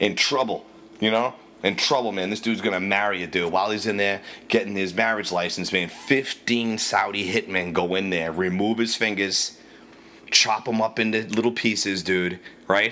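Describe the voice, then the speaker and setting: A man's fairly low-pitched, bright, sharp voice at a moderate pace. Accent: Boston. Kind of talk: casual rant to camera. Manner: profane, animated.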